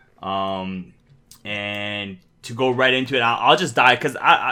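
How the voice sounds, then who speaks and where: In a Canadian accent, a man speaks with a normal speaking voice, fairly low in pitch, with ordinary pitch variation. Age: 30s. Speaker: streetwear brand founder. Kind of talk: casual chat.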